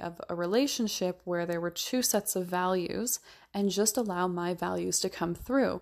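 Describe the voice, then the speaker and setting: A woman talks at a moderate pace in a plain, everyday voice, her pitch medium for a woman. The recording is very clean, with a silent background. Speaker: podcast host and minimalism coach. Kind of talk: solo podcast monologue.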